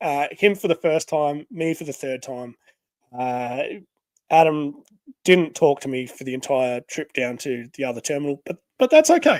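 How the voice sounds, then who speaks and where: A man with an Australian accent speaks with ordinary pitch variation in a dry, close sound with no echo. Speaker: podcast host. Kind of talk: casual chat. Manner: halting, many fillers.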